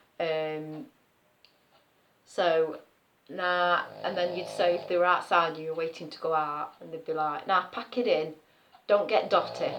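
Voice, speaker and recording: A woman talks in an East Midlands accent. Her voice sits fairly low in pitch. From Nottinghamshire, East Midlands. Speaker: nursery worker. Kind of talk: casual talk to camera.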